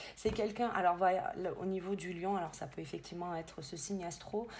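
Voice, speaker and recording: Fairly low female voice with vocal fry, moderate pace, and audible room echo. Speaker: medium and tarot reader. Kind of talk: tarot reading guidance. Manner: hesitant, many fillers.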